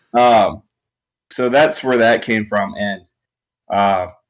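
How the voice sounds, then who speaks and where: A fairly low-pitched man with an American accent and fairly even intonation, in a very clean recording with a silent background. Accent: southern, sometimes thick. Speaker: rock band guitarist and songwriter. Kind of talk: casual interview. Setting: live stream interview.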